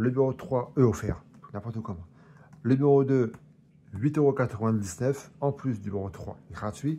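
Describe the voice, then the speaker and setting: A man's medium-pitched voice with ordinary pitch variation, a moderate pace, and long, frequent pauses. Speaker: collector reviewing magazine collections. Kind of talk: casual unboxing review. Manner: stumbling over words.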